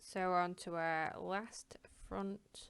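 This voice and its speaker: A woman with a Northern English accent. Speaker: crochet tutor. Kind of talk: craft tutorial talk to camera. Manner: casual, rambling.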